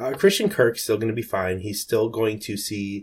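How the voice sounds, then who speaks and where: A man with an ordinary speaking voice talks at a moderate pace with fairly even intonation. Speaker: fantasy football analyst. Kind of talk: casual chat.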